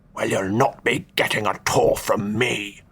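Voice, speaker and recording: Growling and hissing in a put-on character voice, a man speaks at a medium pitch and a moderate pace. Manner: hissed through teeth.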